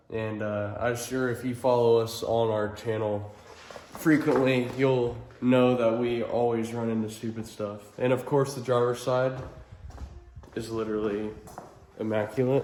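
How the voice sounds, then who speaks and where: With audible room echo and noticeable background noise, a man speaks at a fairly slow pace in a flat monotone, leaving long, frequent pauses. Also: medium pitch for a man. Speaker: auto body painter. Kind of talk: tutorial. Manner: casual.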